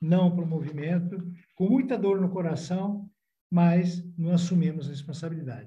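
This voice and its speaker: Through audible room echo, a man's high-pitched, dark, mellow voice shows ordinary pitch variation. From Italy. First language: Italian (speaking Portuguese). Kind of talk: podcast interview.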